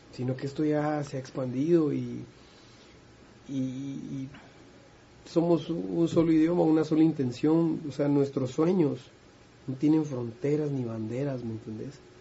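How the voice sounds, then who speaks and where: A man's fairly high, somewhat breathy voice at a fairly slow pace, with ordinary pitch variation and long, frequent pauses. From Guatemala. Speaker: musician. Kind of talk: casual interview chat.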